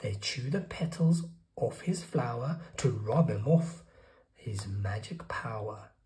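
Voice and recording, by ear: In audible room echo, a man speaks slowly with a slightly mellow tone. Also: medium pitch for a man, lively intonation.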